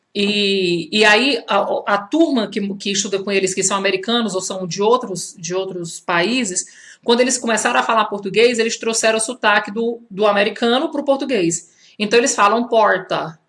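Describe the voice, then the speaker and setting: Her accent is a strong Ceará accent. This woman's fairly high pitch has ordinary variation, at a moderate pace. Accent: strong Ceará (Northeast Brazil). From Brazil, Fortaleza (Ceará). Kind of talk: live social media talk. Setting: Instagram live video. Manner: conversational, with many fillers.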